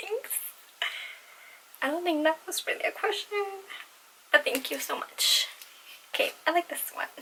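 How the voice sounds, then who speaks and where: Extremely high-pitched female speech at a moderate pace, with very wide pitch swings and long, frequent pauses. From Latin American heritage. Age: 20s. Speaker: beauty and fashion vlogger. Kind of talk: casual Q&A vlog. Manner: awkward, lots of fillers.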